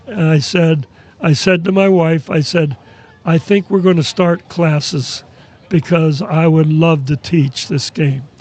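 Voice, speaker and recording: A man speaks at a fairly slow pace and a fairly high pitch, with ordinary pitch variation. His loudness stays very even, and there is noticeable background noise. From New York area. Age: 80s+. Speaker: basketball scout and pickleball coach. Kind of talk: podcast interview.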